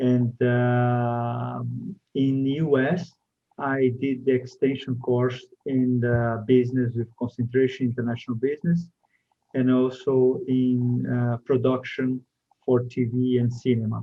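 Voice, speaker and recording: Speaking with a Brazilian accent, a man keeps a fairly slow pace. His intonation is flat and monotone. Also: medium pitch for a man. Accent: Brazilian, non-native English. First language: Portuguese. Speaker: TV and media producer. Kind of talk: interview. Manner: halting, many fillers.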